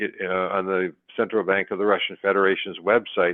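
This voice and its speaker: A fairly low-pitched man with a Canadian accent, talking at a very fast pace. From Canada. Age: 70s. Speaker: precious metals analyst. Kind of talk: interview. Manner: halting, many fillers and repetitions.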